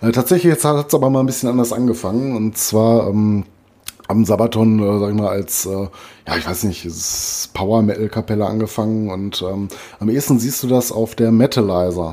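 Noticeable background noise sits behind a man speaking with a slight Ruhr accent. His pitch is fairly low, his pace moderate, and his pitch variation ordinary. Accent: mild Ruhr dialect. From Ruhr area, Germany. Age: 40s. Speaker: metal podcast co-host. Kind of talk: casual chat.

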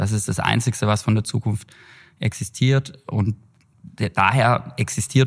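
A man's somewhat breathy, fairly low voice moves at a moderate pace with ordinary pitch variation. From Germany, Heilbronn area (Baden-Württemberg). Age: 30s. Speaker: trend researcher and consultancy director. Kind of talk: podcast interview. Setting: in person together.

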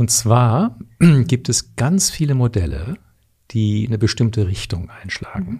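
His medium-pitched voice is somewhat breathy, and the man's intonation is lively. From Canada. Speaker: leadership coach. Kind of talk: interview.

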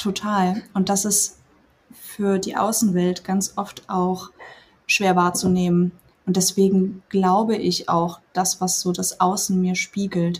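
A woman talks very slowly in a medium-pitched, somewhat breathy voice with monotone, flat intonation. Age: 30s. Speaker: former coaching client, nurse. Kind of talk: casual interview.

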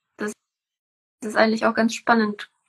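The sound is close and dry, without any echo. A woman does the talking. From Czech Republic. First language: Czech (speaking German). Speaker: permaculture farmer. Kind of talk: casual interview. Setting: Instagram live video call.

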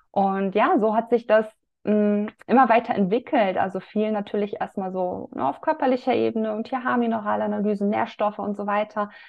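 A woman with an unremarkable speaking voice, fairly high in pitch, at a moderate pace. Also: ordinary pitch variation. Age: 30s. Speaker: women's health coach. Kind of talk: casual chat.

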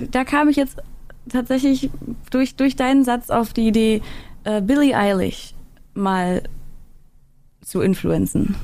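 Long, frequent pauses break up a woman's very slow speech. Her voice sits high in pitch, with a dark, mellow tone and ordinary pitch variation. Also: very even loudness. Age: 30s. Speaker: singer and streamer. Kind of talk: casual chat.

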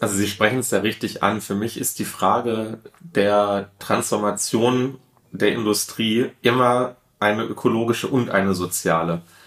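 A man's fairly low, fairly slow delivery with fairly even intonation, a normal speaking voice. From Ruhr area, Duisburg. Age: 30s. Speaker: politician. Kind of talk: interview.

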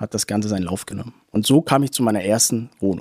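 This man's voice comes across with a dry, close sound and no echo at all. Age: 20s. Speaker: small property investor. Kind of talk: interview.

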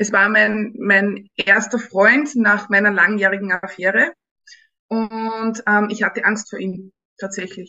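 In an Austrian accent, a woman of medium pitch speaks very slowly with fairly even intonation. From Upper Austria. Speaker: dating experience guest. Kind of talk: casual interview. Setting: studio.

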